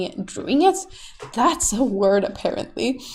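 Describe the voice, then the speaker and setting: This is a woman speaking. She has a Swedish accent. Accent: Swedish, non-native English. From Sweden. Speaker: YouTube artist. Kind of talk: tutorial. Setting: home recording while drawing. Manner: casual, rambling with fillers.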